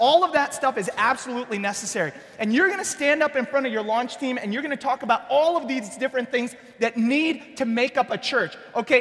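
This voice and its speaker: A man speaks in an animated tone at a very fast pace. His pitch is extremely high, and there is noticeable background noise. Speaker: church planting pastor. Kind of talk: workshop presentation.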